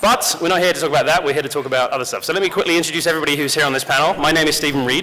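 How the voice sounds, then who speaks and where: A man with a British accent speaks at a fairly high pitch with ordinary pitch variation. Noticeable background noise and audible room echo surround him. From rural England. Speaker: game company community director and panel moderator. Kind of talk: convention panel presentation. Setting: stage with audience. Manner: lively, joking.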